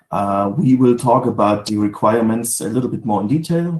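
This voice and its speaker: Speaking with a German accent, a man uses lively intonation at a medium pitch. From Germany. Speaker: sales manager. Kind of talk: webinar presentation. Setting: home office video webinar. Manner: halting, many fillers.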